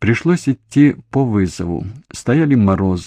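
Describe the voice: Lively intonation in plain reading aloud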